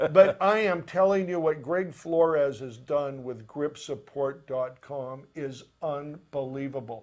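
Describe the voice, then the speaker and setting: A man with an American accent and an unremarkable speaking voice talks at a fairly slow pace, in a fairly high pitch with ordinary pitch variation. His loudness swings widely, and there are hardly any pauses. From Tacoma, Washington, US. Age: 60s. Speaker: podcast host, film grip. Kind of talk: casual chat.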